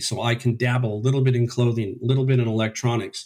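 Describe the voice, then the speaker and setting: A somewhat breathy man with fairly even intonation. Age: 60s. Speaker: eBay reseller, retired furniture store owner. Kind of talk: interview.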